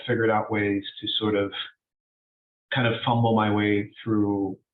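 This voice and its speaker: A man with a fairly low pitch and an American accent. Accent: American, like someone born in the US. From United States. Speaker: documentary editor, panelist. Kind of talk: panel discussion. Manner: halting, many fillers and restarts.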